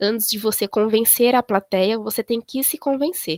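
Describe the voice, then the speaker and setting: A woman talks at a moderate pace with ordinary pitch variation, her voice dry and close with no echo. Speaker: librarian giving a talk to library students. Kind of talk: lecture. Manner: halting.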